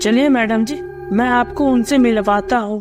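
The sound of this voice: A woman's high, cartoonish character voice at a moderate pace, with faint music in the background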